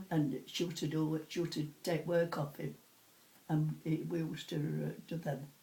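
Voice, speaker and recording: With a Sheffield accent, a woman talks at a moderate pace in a very deep, low pitch with vocal fry. Her intonation is monotone and flat, and her tone is dark and mellow. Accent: broad Sheffield Yorkshire. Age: 80s+. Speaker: retired cutlery polisher. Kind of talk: oral history interview. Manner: halting.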